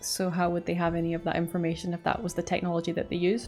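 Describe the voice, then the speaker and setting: Music plays in the background as a woman talks in a Scottish accent. Her delivery is very fast and her intonation monotone and flat. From Scotland. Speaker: YouTube reaction creator. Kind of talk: casual talk to camera.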